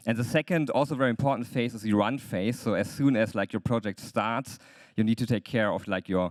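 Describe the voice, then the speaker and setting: A man with a German accent on a very clean recording against a silent background. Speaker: lawyer. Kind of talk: conference talk. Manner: hesitant, many fillers.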